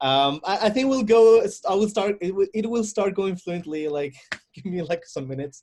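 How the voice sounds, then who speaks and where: A man talks loudly in a high pitch at a moderate pace. His intonation is lively. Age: 30s. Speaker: actor and architect. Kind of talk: personal testimony. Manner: halting.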